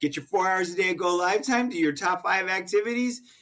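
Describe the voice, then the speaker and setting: A man with an American accent, high pitch, ordinary pitch variation and a very fast pace. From Connecticut. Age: 60s. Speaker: sales coach and author. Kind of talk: podcast interview.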